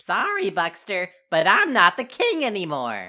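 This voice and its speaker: A woman's cartoonish character voice, medium in pitch, at a moderate pace. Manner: light, breezy.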